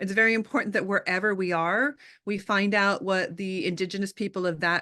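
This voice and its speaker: A woman speaks with a Californian accent in a bright, sharp tone and ordinary pitch variation. Her pace is fairly quick, and the background is quiet. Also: medium pitch for a woman. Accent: California twang. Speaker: artist, scholar and activist. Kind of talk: interview conversation. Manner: frequent filler ums.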